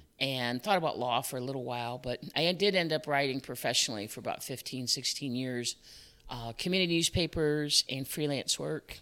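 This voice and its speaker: A fairly quick pace in an American accent, ordinary pitch variation, and a very clean recording with a silent background. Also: woman, very deep, low pitch for a woman. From Chicago area, US. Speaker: business owner, former parks manager. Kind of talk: casual interview.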